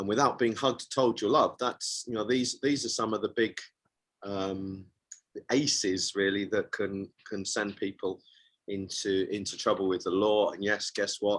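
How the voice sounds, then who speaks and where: A man's unremarkable speaking voice, fairly low-pitched, moderate in pace and fairly even in intonation. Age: 60s. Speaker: men's coach and author. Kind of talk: interview. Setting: radio show.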